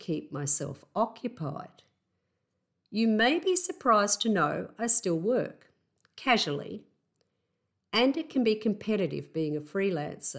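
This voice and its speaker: A woman with an Australian accent and medium pitch speaks at a fairly slow pace, her pitch swinging very widely. Long, frequent pauses mark the very clean recording, its background silent. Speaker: house sitter podcaster. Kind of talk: solo podcast monologue, personal storytelling. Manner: conversational, reflective.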